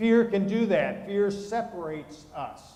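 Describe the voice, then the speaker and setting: A man speaks at a very slow pace, with audible room echo around his words. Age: 60s. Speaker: pastor. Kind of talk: sermon.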